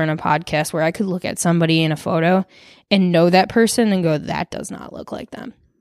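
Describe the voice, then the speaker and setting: On a very clean recording with a silent background, a woman with a Michigan accent talks at a fairly quick pace, her fairly low voice held to fairly even intonation. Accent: Michigan American. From Michigan, Detroit suburbs (Farmington). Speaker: artist and photographer. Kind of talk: casual chat.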